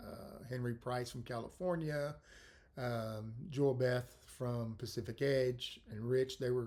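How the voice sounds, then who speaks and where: Speaking in a Texan accent, a man has a medium-pitched voice. His pitch varies in an ordinary way. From South Texas, Corpus Christi. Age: 60s. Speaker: podcast host. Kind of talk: casual monologue. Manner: hesitant, many fillers.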